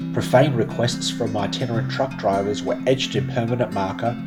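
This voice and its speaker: Backed by music, a man with an Australian accent talks fairly quickly with lively intonation. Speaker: spoken word writer and narrator, travel storyteller. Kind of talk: spoken word narration, first-person travel story over music. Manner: reflective, literary, measured.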